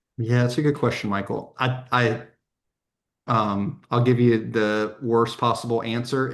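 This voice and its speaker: An American man speaks in an ordinary speaking voice at a fairly slow pace and medium pitch, his intonation fairly even over a quiet background. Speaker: software vendor representative. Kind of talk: webinar panel discussion. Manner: many fillers (um, you know).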